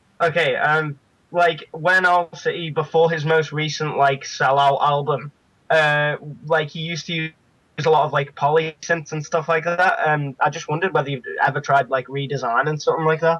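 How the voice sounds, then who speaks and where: Against a quiet background, a man with a fairly high pitch speaks at a moderate pace in a flat monotone with a bright, sharp tone. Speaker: caller. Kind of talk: casual chat.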